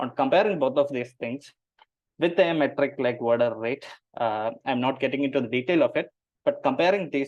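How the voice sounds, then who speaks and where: This voice carries a Keralan accent. Its pitch varies in the ordinary way. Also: man. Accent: Indian English, Malayali. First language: Malayalam. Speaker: machine learning engineer presenting a paper. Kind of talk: technical presentation. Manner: hesitant, many fillers.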